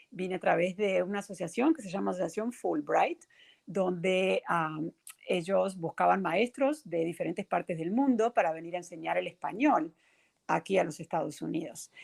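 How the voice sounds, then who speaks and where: In a dry, close sound with no echo, a woman with vocal fry talks at a moderate pace and fairly low pitch, with ordinary pitch variation. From Uruguay, Montevideo. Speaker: teacher and children's author. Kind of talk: interview.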